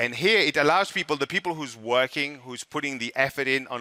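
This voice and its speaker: A man with a French accent speaks at a moderate pace in a fairly high, bright, sharp voice with ordinary pitch variation, recorded dry and close with no echo. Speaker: network marketing presenter. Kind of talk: sales pitch. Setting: stage with audience.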